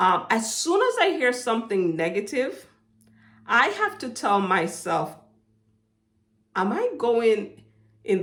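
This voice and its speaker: A woman speaks in a fairly high pitch with a bright, sharp tone. Her pitch swings very widely. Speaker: motivational faith vlogger. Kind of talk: inspirational monologue. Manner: hesitant, with fillers.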